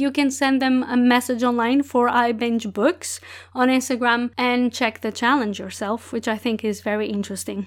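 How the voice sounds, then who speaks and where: On a very clean recording with a silent background, a woman with a high voice and a Portuguese accent speaks with fairly even intonation. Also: moderate pace. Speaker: book podcast host. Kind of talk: solo podcast monologue, book reviews.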